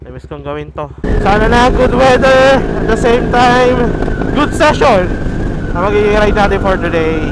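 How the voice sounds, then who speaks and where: The tone is excited while the pace stays fairly slow. Noticeable background noise can be heard. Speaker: motovlogger. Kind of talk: casual vlog narration while riding. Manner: excited exclamations.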